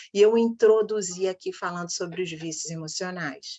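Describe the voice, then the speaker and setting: Her pitch variation is ordinary. The woman speaks at a medium pitch. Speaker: coach / workshop host. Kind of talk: online workshop talk. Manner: animated.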